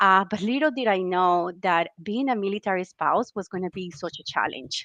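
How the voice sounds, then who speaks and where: A woman with a Colombian accent speaks at a fairly quick pace and medium pitch, in a bright, sharp tone. Her pitch varies in an ordinary way over a quiet background. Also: dry, close sound with no echo. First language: Spanish. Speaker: military spouse, career program manager. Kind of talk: webinar interview.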